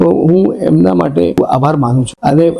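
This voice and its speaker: A man with lively intonation. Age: 60s. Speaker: patient. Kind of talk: testimony.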